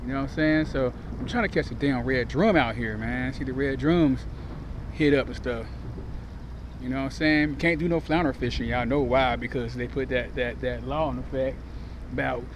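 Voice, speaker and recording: Noticeable background noise runs under a man who speaks with long, frequent pauses. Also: moderate pace, dry sound with no echo. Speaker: fishing vlogger. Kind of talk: casual vlog chat. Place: waterside. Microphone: phone near.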